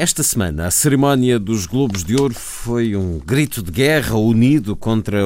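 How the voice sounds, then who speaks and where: A man with a normal speaking voice talks at a fairly slow pace with lively intonation. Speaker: radio host. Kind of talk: news reading.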